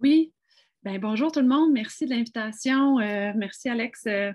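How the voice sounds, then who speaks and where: Speaking in an ordinary speaking voice, a woman with a fairly high pitch and ordinary pitch variation talks at a fairly slow pace over a quiet background. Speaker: physician. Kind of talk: panel discussion.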